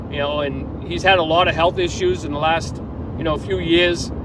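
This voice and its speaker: Fairly quick, fairly even speech amid audible room echo and noticeable background noise. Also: man. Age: 60s. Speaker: hunter. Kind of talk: casual monologue. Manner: halting.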